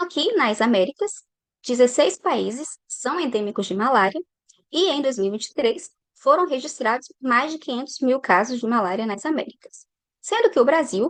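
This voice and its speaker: A woman's high voice with very wide pitch swings and big swings in loudness, in a dry, close sound with no echo. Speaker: scientist. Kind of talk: lecture. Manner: deliberately paced.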